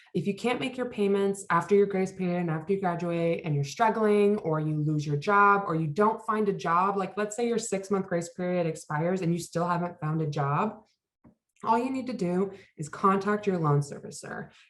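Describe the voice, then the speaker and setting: At a moderate pace, a woman talks in an ordinary speaking voice at medium pitch with ordinary pitch variation. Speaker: financial wellness workshop presenter. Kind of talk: workshop presentation.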